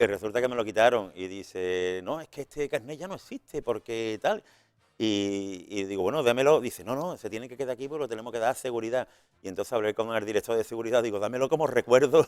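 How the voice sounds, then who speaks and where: Speech at a very fast pace carries ordinary pitch variation. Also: man. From Spain, Seville. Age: 60s. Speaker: retired evangelist and prison visitor. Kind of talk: interview testimony. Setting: radio and TV studio. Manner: animated, repetitive restarts.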